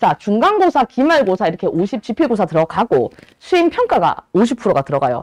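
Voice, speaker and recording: A woman speaks at a fairly quick pace with a fairly high pitch and very wide pitch swings, recorded dry and close with no echo. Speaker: Korean language cram-school teacher. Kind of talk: lecture. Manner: talkative, admits to nagging a lot.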